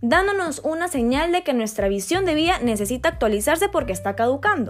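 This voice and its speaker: The pitch of this woman's voice swings very widely. Her pace is moderate. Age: 20s. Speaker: podcast host. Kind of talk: monologue podcast. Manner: casual.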